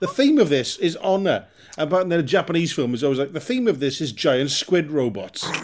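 In a Welsh accent, a man talks at a fairly quick pace with a high pitch and very wide pitch swings. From Wales. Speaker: comedian. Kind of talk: casual chat.

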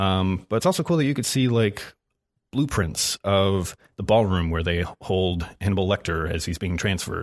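Recorded very cleanly with a silent background, a man with a very deep, low pitch speaks at a moderate pace with ordinary pitch variation. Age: 20s. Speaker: film podcast guest. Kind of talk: casual chat.

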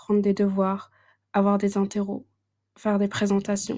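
On a very clean recording with a silent background, a woman speaks at a fairly slow pace with a somewhat breathy voice at medium pitch. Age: 20s. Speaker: podcast host. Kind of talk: casual chat.

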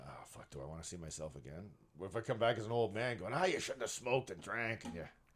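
Talking at a very fast pace, a man with a fairly low pitch and vocal fry makes very wide pitch swings and big swings in loudness. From Canada, Brampton, Ontario. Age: 40s. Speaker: comedian and magician. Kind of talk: casual chat. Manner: animated.

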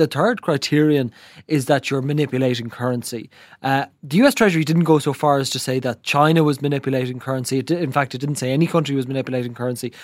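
Delivery is at a very fast pace with fairly even intonation. The recording is very clean, with a silent background. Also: man, fairly high pitch for a man. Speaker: business journalist. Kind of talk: news discussion. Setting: studio. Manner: quiet.

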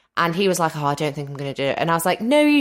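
In a Mancunian accent, a woman talks in an animated tone. Her pitch swings very widely, and the recording is very clean with a silent background. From Manchester, northern England. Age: 30s. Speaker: podcaster and former reality TV contestant. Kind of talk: casual interview chat. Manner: animated, laughs often.

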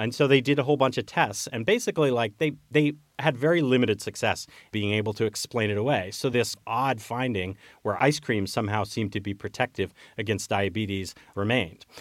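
A man with an ordinary speaking voice talks at a fairly quick pace, medium in pitch with ordinary pitch variation, on a very clean recording with a silent background. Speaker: journalist and public health historian. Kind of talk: interview.

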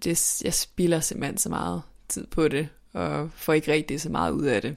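On a very clean recording with a silent background, a woman speaks at a moderate pace with vocal fry. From northern Denmark. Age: 20s. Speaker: journalism student and author. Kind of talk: personal testimony interview. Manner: halting, many repetitions and fillers.

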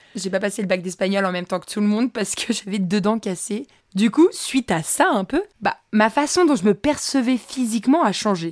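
At a moderate pace, a woman speaks in a fairly high pitch with an animated tone and lively intonation. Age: 20s. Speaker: podcast host. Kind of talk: casual storytelling monologue.

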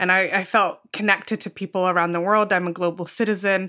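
A woman with a British accent, medium pitch and a bright, sharp tone, fairly quick and monotone, flat in intonation, in a very clean recording with a silent background. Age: 20s. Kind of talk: panel discussion.

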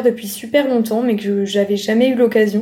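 A woman talks fairly quickly in a fairly high pitch with a dark, mellow tone. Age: young. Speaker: medical student. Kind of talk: casual chat.

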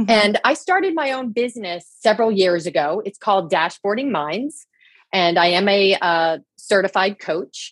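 Her voice is an unremarkable speaking voice, a woman's at medium pitch, with lively intonation and a moderate pace. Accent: American. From New Jersey. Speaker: leadership coach. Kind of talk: interview chat.

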